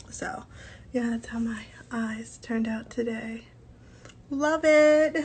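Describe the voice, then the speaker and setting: A woman speaks at a high pitch. Her intonation is fairly even. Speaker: beauty influencer. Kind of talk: casual vlog chat. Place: home room. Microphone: phone near.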